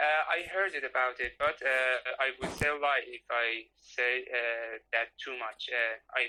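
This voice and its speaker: The man's voice sits at medium pitch. His pace is fairly slow. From northern Iran, Gorgan. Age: 20s. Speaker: interviewee, mechanical engineer. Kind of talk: casual interview. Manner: halting, many fillers.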